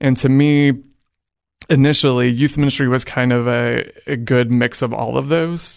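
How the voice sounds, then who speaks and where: A man talks at a moderate pace with an American accent and a normal speaking voice. His medium pitch follows fairly even intonation. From Oklahoma (Edmond, near Oklahoma City). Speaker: high school teacher. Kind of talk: interview.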